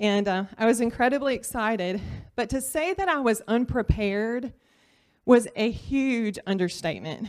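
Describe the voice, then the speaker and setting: On a very clean recording with a silent background, a woman with a Louisiana accent speaks at a fairly high pitch, with lively intonation and a moderate pace. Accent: Southern US (Louisiana). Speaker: surgical technologist and church volunteer. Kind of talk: personal testimony talk. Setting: church class with audience.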